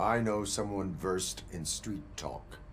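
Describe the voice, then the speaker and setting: Delivered in a put-on character voice at a fairly slow pace, the speech comes with clear background noise. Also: man, very deep, low pitch for a man. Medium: video game. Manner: flat, formal, unemotional.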